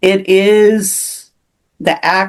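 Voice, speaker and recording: A woman with a West Coast accent. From US Pacific Northwest, Seattle. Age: 70s. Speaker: author. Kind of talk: interview. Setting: podcast interview. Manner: halting.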